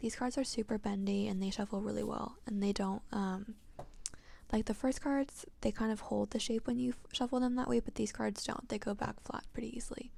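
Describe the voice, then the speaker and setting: A soft-spoken woman, fairly high in pitch, somewhat breathy, with a dark, mellow tone. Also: fairly even intonation, fairly quick pace. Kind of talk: ASMR-style tarot reading and deck showcase.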